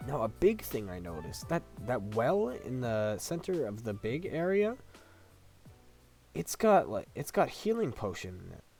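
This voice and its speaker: A man with a medium pitch speaks at a moderate pace with very wide pitch swings, music playing in the background. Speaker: gaming YouTuber. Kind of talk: casual game review to camera.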